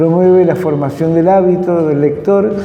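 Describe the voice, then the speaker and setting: A man speaks with ordinary pitch variation. There is noticeable background noise and audible room echo. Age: 60s. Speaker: teacher and program host. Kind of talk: scripted program introduction. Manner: formal.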